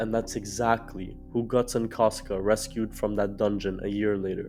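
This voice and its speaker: Over music in the background, a man with a fairly low pitch talks at a moderate pace in a flat, monotone way. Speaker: video essayist. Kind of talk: video essay narration.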